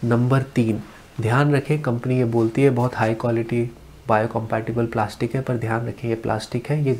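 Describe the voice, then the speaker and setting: The voice is somewhat breathy, with monotone, flat intonation. Light background noise can be heard. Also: man. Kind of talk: tutorial.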